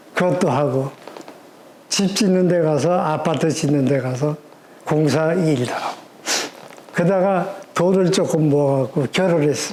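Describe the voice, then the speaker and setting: Very slow speech with ordinary pitch variation comes through audible room echo and noticeable background noise. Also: man. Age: 80s+. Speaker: retired association leader. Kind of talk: interview. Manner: formal.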